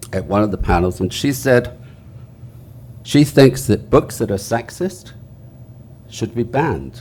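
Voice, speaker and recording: Lively intonation runs through this man's medium-pitched voice, which has a dark, mellow tone. He speaks at a moderate pace with some vocal fry. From England. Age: 70s. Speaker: author. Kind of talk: panel discussion.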